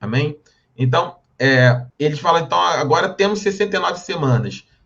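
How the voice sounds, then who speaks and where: This man's pitch is fairly high. His intonation is lively and his loudness very even. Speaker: Bible teacher. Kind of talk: lecture. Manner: fast.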